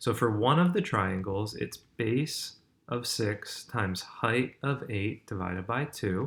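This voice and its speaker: A man's somewhat breathy voice at a medium pitch and very slow pace, with ordinary pitch variation, in a very clean recording with a silent background. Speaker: middle school math teacher. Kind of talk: recorded math lesson walkthrough. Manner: casual.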